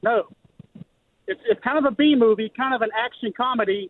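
With a Louisiana accent, a man talks at a moderate pace using lively intonation. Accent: Louisiana Southern US. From Baton Rouge, Louisiana. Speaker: caller. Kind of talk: casual chat. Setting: phone call.

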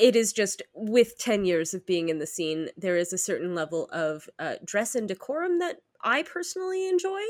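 A woman's fairly high voice at a moderate pace, with very wide pitch swings, in a dry, close sound with no echo. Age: 30s. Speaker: podcast host. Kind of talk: casual chat.

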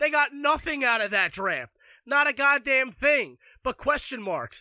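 An extremely high-pitched man's raised, projected voice in an American accent, bright and sharp with an animated tone, dry and close with no echo on a very clean recording with a silent background. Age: 20s. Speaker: sports podcaster. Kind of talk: sports rant.

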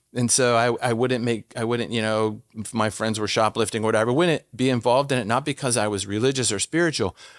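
A man with an American accent uses a normal speaking voice at a medium pitch with ordinary pitch variation, on a very clean recording with a silent background. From Washington, DC. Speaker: former police officer and speaker. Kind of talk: interview. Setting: studio.

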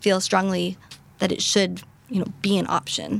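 Noticeable background noise runs under this woman's voice as she speaks at a moderate tempo. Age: 20s. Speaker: rare disease patient advocate. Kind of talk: interview conversation. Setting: live recording at a patient advocacy summit.

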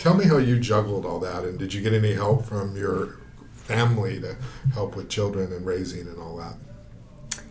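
This man has an unremarkable speaking voice, fairly low in pitch. He talks at a moderate pace with ordinary pitch variation. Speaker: podcast host. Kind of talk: interview.

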